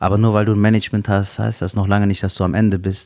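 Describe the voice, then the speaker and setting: This man has a fairly low pitch and a dark, mellow tone, speaking at a fairly quick pace. The recording is very clean, with a silent background. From Cologne, western Germany. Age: young. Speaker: stand-up comedian. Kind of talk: casual chat.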